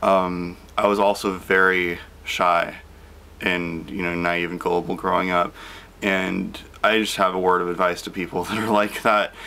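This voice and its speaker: A man talks at a moderate pace in a very deep, low voice. His intonation is monotone and flat. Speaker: vlogger. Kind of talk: casual vlog chat. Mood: reflective, calm with small laughs. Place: home room. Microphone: phone near.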